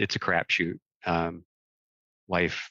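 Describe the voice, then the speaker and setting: An American-accented man speaks fairly slowly in a bright, sharp tone, the sound dry and close with no echo. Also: quiet background. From US Midwest, Michigan. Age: 60s. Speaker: magician and executive coach. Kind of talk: personal testimony interview.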